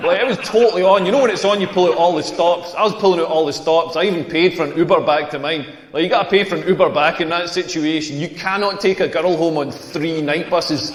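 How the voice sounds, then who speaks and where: Amid noticeable background noise and audible room echo, a high-pitched man with a Scottish accent speaks very fast in an animated tone. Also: ordinary pitch variation, hardly any pauses. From rural Scotland. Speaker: comedian. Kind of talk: stand-up. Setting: stage with audience.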